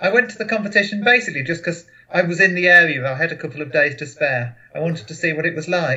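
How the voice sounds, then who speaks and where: A man talks at a very fast pace. His high pitch carries lively intonation. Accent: English. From England, Boston, Lincolnshire. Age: 30s. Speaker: memory champion, financial analyst. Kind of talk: casual interview. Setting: video call.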